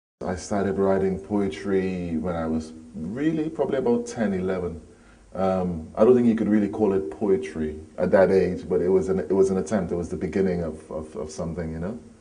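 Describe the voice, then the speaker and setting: A man's very deep, low voice at a fairly quick pace, with ordinary pitch variation and audible room echo. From Trinidad and Tobago, near Port of Spain. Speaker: poet and musician. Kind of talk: interview.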